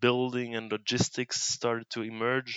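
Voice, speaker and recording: A man speaks at medium pitch in a Brussels accent. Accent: Belgian (Brussels) accent in English. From Brussels, Belgium. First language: Dutch and French (bilingual). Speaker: reuse initiative coordinator. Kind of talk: casual interview. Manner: hesitant, many fillers.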